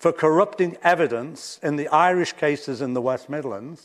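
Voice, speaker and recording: Lively intonation marks this man's speech at a fairly slow pace. The background is quiet. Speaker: professor. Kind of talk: public lecture. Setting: lecture hall with audience. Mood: serious, critical. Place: classroom.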